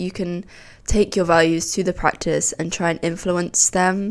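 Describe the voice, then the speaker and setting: A woman speaks in a normal speaking voice at a fairly low pitch. Her pace is moderate. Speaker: podcast co-host, architecture student. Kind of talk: casual chat.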